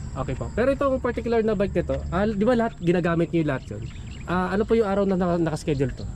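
A man's very fast, lively speech at a high pitch, dry with no echo, over light background noise. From Philippines. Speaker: cycling YouTuber doing bike check. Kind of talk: casual bike-check interview. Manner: casual, with frequent fillers and laughs. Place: open country. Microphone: phone near.

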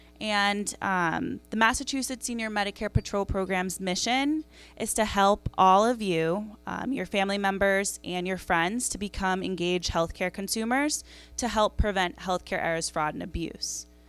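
A woman with an American accent, a dry sound with no echo, and faint music in the background. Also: ordinary pitch variation. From New York area. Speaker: health program presenter; presenter. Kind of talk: community talk. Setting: senior center audience. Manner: fast. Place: hall. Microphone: handheld.

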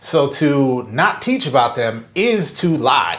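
A man speaks in an animated tone, his voice somewhat breathy. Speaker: podcast co-host, former school principal. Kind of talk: casual chat.

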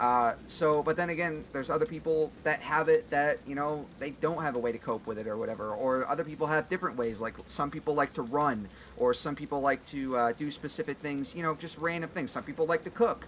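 A fairly high-pitched man at a fairly quick pace, with hardly any pauses, ordinary pitch variation and light background noise. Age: 20s. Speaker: gaming youtuber. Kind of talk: let's play commentary. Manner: halting. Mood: earnest, reflective.

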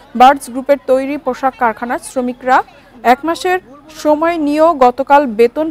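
A woman's high voice with ordinary pitch variation and a dry sound with no echo. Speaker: news anchor. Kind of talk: news reading. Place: studio.

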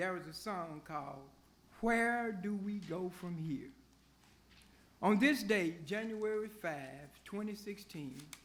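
A man speaks at a fairly slow pace, his voice carrying audible room echo. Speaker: public commenter. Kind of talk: public comment at council meeting. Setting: city council chamber. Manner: formal.

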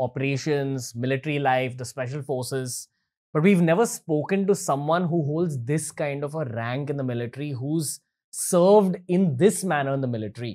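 A man talks with ordinary pitch variation at a moderate pace, the background quiet. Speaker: podcast host. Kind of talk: episode intro to camera. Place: studio. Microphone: studio mic.

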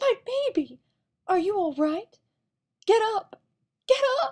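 A woman adopts a put-on character voice, speaking fairly slowly at an extremely high pitch. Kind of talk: fan voice acting audition.

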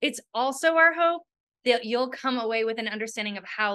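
Bright and sharp in tone, a woman's voice sounds against a quiet background. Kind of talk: prepared presentation. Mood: warm and smiling. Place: home room. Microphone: webcam.

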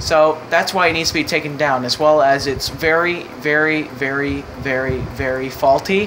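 Background noise is noticeable here. The speaking pace stays moderate. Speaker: Minecraft YouTuber. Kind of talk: casual gaming banter, playful skit.

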